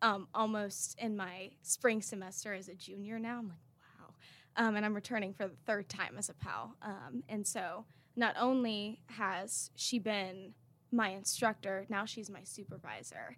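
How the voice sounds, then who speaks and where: With an American accent and a normal speaking voice, a woman at medium pitch speaks at a fairly slow pace with ordinary pitch variation. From North Carolina (Raleigh). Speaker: university student. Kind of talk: interview.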